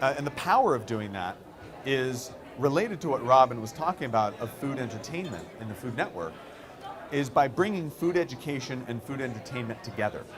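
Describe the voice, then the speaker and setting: A man with an American accent, medium in pitch, with very wide pitch swings and a fairly quick pace, amid audible room echo and noticeable background noise. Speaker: company co-founder. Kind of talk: conference talk.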